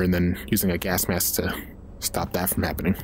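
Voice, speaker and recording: Noticeable background noise sits under a man's very deep, low-pitched voice. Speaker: gaming video creator. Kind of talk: gameplay commentary. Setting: at home on camera. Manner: casual, profane.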